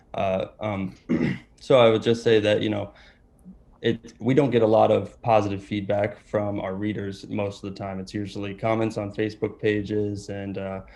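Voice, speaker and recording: Monotone, flat intonation carries a dark, mellow tone. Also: man, fairly low pitch for a man, moderate pace. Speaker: journalism student. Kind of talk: panel discussion. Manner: hesitant, many fillers.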